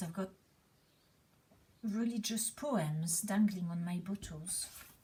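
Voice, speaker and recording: A woman with a slight French accent speaks at a fairly slow pace in a dark, mellow, somewhat breathy tone, at medium pitch with ordinary pitch variation and long, frequent pauses. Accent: slightly French tone. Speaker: cleaning video creator. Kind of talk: casual chat while cleaning. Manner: slightly aggressive, blaming tone.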